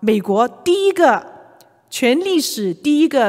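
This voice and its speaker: A woman speaks with a Cantonese accent. Her pitch is high and her pace fairly slow. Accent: Cantonese accent in Mandarin. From Hong Kong. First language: Cantonese (speaking Chinese). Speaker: retired executive and church elder, workplace ministry speaker. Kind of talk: church talk / sermon-style lecture.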